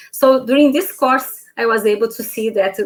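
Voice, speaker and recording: A woman speaks at a fairly slow pace with a Brazilian Portuguese accent. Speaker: informatics lecturer. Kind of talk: panel talk. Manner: halting.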